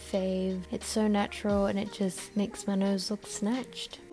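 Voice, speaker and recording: Over music in the background, a quiet woman speaks at a medium pitch in a flat monotone. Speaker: beauty vlogger. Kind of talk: makeup tutorial voiceover. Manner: quiet, low-energy.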